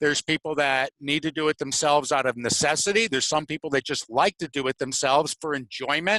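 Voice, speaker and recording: A man with a bright, sharp tone, ordinary pitch variation and hardly any pauses, in a dry, close sound with no echo. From Connecticut. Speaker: auto detailer, show co-host. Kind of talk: casual talk show. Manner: repetitive, filler-heavy.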